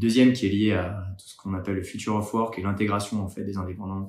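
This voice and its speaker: A man's fairly low voice moves at a fairly quick pace in a monotone, flat intonation. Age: 30s. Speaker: startup founder and accountant. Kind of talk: candidacy pitch video. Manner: hesitant with frequent fillers.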